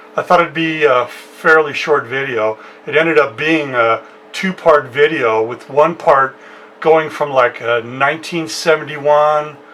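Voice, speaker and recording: With an American accent and a fairly high pitch, a man speaks at a fairly slow pace over noticeable background noise. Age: 60s. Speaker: musician and home studio youtuber. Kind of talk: casual personal storytelling. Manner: hesitant with many fillers.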